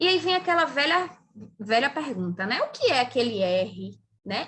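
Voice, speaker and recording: In a Brazilian accent, a woman with a high, bright, sharp voice speaks at a fairly slow pace, her pitch swinging very widely. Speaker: physician and pharmacology lecturer. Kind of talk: lecture.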